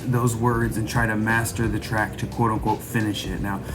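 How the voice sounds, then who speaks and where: Noticeable background noise and audible room echo around a man's moderately paced, medium-pitched voice. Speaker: hip hop producer and rapper. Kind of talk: tutorial. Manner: casual. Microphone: cheap microphone.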